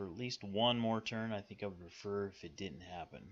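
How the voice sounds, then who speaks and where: Against a quiet background, a man with a Western US accent talks with ordinary pitch variation. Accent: Western American. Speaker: strategy game YouTuber. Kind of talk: gameplay commentary. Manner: sometimes mumbling; deliberately clear speech.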